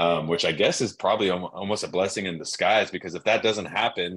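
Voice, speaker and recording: Very fast, a man with an American accent talks at a very deep, low pitch. His intonation is monotone and flat. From Southern California. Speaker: podcast host. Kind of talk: casual chat.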